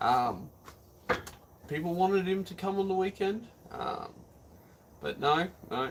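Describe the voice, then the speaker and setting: Speaking fairly slowly, a man talks in an Australian accent. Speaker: arm wrestler streaming live. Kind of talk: live stream chat. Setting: live stream on camera. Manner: casual, many filler words.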